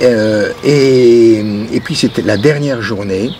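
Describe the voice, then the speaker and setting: Noticeable background noise beneath speech of ordinary pitch variation. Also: man. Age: 50s. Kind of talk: interview testimony. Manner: halting, many hesitations and repetitions.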